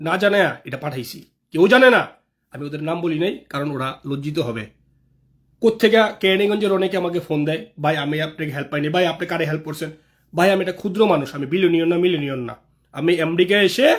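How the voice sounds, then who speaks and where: A man with a high pitch is heard in a very clean recording with a silent background. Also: ordinary pitch variation. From Bangladesh, Dhaka (Kamrangirchar). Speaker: local political activist. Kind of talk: live video monologue.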